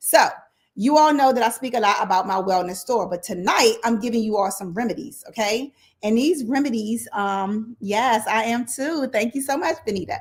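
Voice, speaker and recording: Somewhat breathy speech at a moderate pace, with lively intonation. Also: woman, fairly high pitch for a woman. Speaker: wellness and finance livestream host. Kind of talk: casual livestream talk. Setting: livestream. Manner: conversational, informal.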